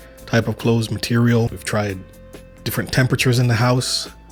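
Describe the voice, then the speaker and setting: Over music in the background, a man at a medium pitch speaks at a fairly quick pace with fairly even intonation. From Saint Vincent. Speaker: travel vlogger. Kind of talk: casual talk to camera.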